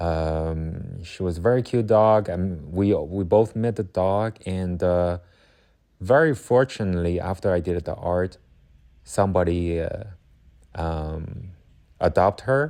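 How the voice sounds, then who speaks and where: A man with a non-native accent speaks at a fairly slow pace in a very deep, low voice with a dark, mellow tone and ordinary pitch variation, over a quiet background. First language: not English. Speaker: watercolor artist. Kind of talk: casual chat. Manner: halting.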